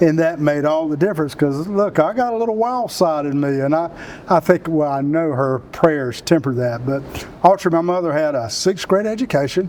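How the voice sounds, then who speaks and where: With a South Carolina accent, a man with a fairly high pitch talks in lively intonation over noticeable background noise. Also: moderate pace. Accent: Southern US (South Carolina). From US South. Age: 60s. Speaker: Marine veteran and economic development leader. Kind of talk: interview.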